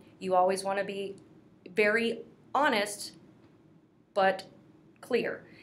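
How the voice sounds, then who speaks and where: A woman with an American accent speaks at a medium pitch with fairly even intonation. Room echo can be heard. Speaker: career coach for military veterans. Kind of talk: casual advice talk. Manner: fast.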